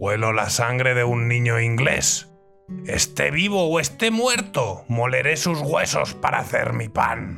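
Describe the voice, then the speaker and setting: Over clear background music, a man performs a put-on character voice. He speaks fairly slowly at a medium pitch. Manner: growling, menacing.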